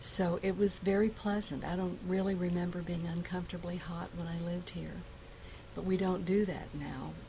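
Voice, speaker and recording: There is audible room echo as a woman speaks with an American accent at a moderate pace. Her fairly low voice is monotone and flat. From Ashland, Virginia. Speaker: oral history interviewee. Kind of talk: oral history interview.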